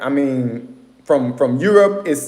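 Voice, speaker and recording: A man speaks with ordinary pitch variation. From Atlanta, Georgia, US. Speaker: livestream host. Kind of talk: casual livestream talk. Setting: live stream with viewers.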